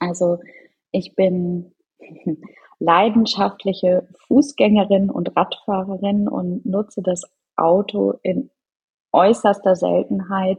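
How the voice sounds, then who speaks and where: A woman speaks very slowly and somewhat breathily, with fairly even intonation and long pauses that come often. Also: medium pitch for a woman. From Norderney, northern Germany. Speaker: charity co-founder. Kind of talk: interview.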